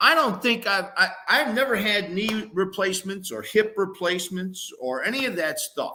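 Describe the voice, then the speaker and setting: A man speaks in a raised, projected voice with a high pitch and lively intonation. His pace is moderate, with hardly any pauses. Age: 60s. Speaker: former college football player. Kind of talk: casual sports talk.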